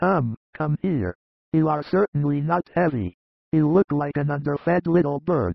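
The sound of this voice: In a put-on character voice with vocal fry, a man speaks fairly slowly at a fairly high pitch with lively intonation, and the sound is dry and close with no echo.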